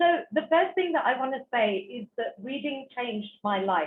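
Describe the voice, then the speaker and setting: A woman with a British accent speaks at a fairly slow pace, her intonation lively. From England. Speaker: author and speaker. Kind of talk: talk to online audience. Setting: online virtual event. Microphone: poor internet connection.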